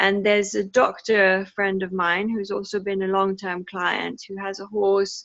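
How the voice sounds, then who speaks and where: A woman of medium pitch at a fairly slow pace, in a monotone, flat intonation. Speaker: equine locomotion therapist. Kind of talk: video call discussion. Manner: hesitant, many fillers.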